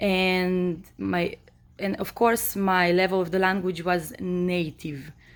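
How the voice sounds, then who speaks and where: With an Israeli accent, a woman of medium pitch talks at a very slow pace and fairly even intonation. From Israel, born in Moldova. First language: Hebrew. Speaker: vlogger. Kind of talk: personal monologue. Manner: hesitant, many fillers.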